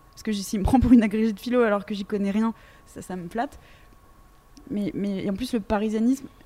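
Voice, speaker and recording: A woman with a fairly high pitch talks at a fairly quick pace, her intonation fairly even. Her loudness swings a lot, and she leaves long, frequent pauses. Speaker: radio host. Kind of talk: interview. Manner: fast.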